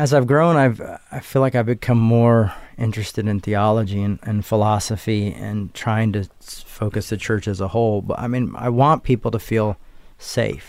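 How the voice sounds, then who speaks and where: On a very clean recording with a silent background, a man with an American accent talks at a moderate pace in a fairly low pitch, with ordinary pitch variation and an unremarkable speaking voice. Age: 30s. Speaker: minister and theologian. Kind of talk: personal interview, life story.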